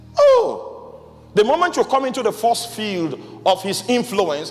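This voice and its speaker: Amid noticeable background noise, a man speaks at a fairly slow pace with lively intonation. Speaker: pastor. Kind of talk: sermon.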